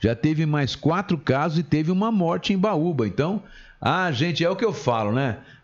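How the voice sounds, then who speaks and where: Here a man talks with an animated tone and lively intonation. His voice is fairly high, and his pace is moderate. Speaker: community radio host. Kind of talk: casual radio talk show.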